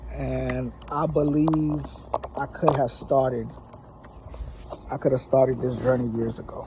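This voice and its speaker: Pausing often and at length, a man talks with noticeable background noise behind him. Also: fairly slow pace. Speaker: vlogger. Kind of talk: casual vlog monologue. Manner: many filler words.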